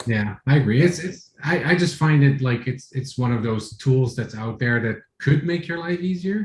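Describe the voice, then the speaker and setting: A man with a fairly high pitch and a somewhat breathy voice talks at a moderate pace with lively intonation and hardly any pauses. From Netherlands. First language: Dutch. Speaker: front-end developer, speaker. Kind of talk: Q&A discussion. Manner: halting.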